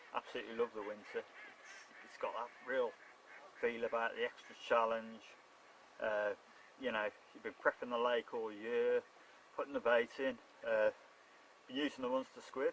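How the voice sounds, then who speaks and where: A man with a Shropshire accent at a moderate pace, big swings in loudness, and long, frequent pauses. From Shropshire, England. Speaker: carp angler. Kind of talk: casual fishing video diary to camera. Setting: outdoors.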